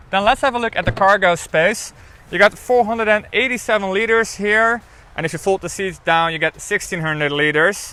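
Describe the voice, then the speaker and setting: A man with a high pitch uses a raised, projected voice with a bright, sharp tone, ordinary pitch variation and a fairly quick pace. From Netherlands. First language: Dutch. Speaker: car reviewer. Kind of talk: product review. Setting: in a car. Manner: casual.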